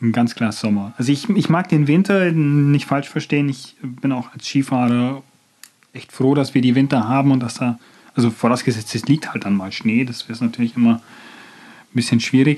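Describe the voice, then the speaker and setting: Ordinary pitch variation marks a man's voice at a medium pitch. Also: moderate pace. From Bavarian Swabia, near Nördlingen. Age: 20s. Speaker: marketing student and trainee. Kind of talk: casual chat.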